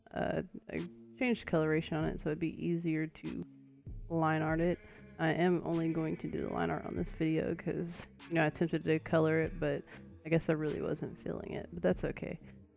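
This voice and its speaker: A woman talking at a fairly quick pace, with music in the background. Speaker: digital artist. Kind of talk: casual voice-over for art timelapse. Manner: hesitant, many filler words.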